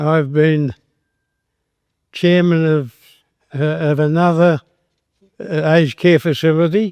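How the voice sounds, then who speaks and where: With an Australian accent, a man speaks at a very slow pace with long, frequent pauses, fairly even intonation and a fairly high pitch, in a dry, close sound with no echo. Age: 80s+. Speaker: retired accountant and Freemason. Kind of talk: after-dinner speech. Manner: halting.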